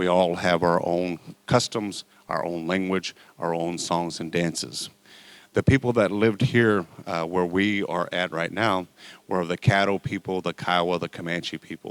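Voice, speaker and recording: In a dry, close sound with no echo, a man speaks at a moderate pace with a very deep, low pitch and fairly even intonation. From Oklahoma, Choctaw and Chickasaw. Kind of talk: public talk to an audience. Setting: college event with live audience.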